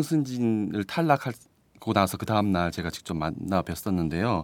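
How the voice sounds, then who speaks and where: A man talks at a moderate pace with a fairly low pitch and very wide pitch swings. The recording is very clean, with a silent background. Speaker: reporter. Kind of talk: casual chat. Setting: studio.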